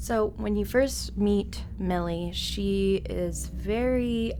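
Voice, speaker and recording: Music plays in the background as a woman speaks with audible room echo. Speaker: voice actor. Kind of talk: interview answer. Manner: articulate, measured.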